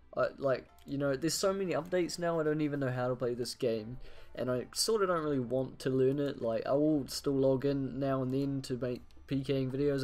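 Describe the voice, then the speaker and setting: Moderate pace, with music in the background. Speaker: gaming youtuber. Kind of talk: casual gameplay commentary.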